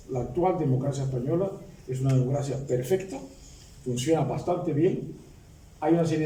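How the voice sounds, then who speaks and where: A man talks at a fairly quick pace, at a medium pitch with ordinary pitch variation. Audible room echo surrounds his voice. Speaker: retired law professor and former politician. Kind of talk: book presentation speech. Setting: public academic event with audience. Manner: halting.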